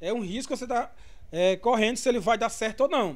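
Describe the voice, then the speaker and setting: A man speaks at a fairly quick pace with an extremely high pitch and ordinary pitch variation. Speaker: business lecturer. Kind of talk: online lecture livestream. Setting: live stream.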